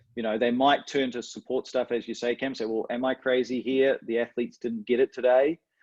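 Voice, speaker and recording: A man's medium-pitched voice with a New Zealand accent and fairly even intonation, dry and close with no echo against a quiet background. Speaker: coach mentor. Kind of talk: webinar interview.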